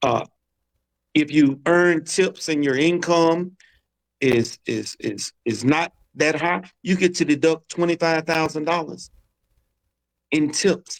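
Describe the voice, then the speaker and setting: With an American accent, a man with a fairly high voice and ordinary pitch variation speaks very slowly, leaving long, frequent pauses. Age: 60s. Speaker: political candidate. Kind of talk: casual chat.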